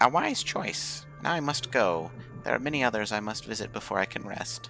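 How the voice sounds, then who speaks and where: A man puts on a character voice at a medium pitch. Music plays clearly in the background. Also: moderate pace. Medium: game stream. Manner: hurried, fussy.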